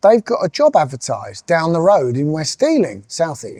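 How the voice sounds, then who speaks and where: With a dark, mellow tone and a fairly high pitch for a man, this man talks at a moderate pace in a dry, close sound with no echo. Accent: southern English. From southern England, Sussex coast. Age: 50s. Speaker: music industry executive. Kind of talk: interview monologue. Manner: hesitant, with fillers.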